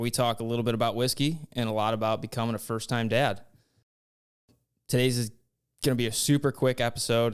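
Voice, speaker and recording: Using a plain, everyday voice, a man talks at a fairly quick pace with medium pitch and fairly even intonation in a very clean recording with a silent background. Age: 30s. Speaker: podcast host. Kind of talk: casual chat.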